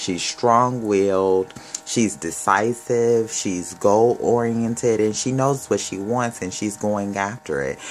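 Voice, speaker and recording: Over music in the background, a man speaks at a very slow pace with a fairly low pitch and ordinary pitch variation. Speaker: tarot reader. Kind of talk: tarot reading commentary. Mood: warm, upbeat. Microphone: phone near.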